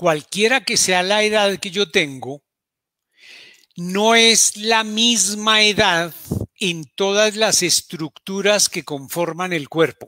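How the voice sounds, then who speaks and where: A man's raised, projected voice at a high pitch, bright and sharp in tone, at a very slow pace, in dry, close sound with no echo. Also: ordinary pitch variation. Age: 60s. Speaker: doctor giving health talks. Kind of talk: health talk. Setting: live broadcast.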